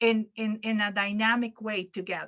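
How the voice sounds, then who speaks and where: Fairly slow speech from a woman with a non-native accent. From Venezuela. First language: Arabic. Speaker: educator and workshop presenter. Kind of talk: conference workshop Q&A. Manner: halting, with repetitions.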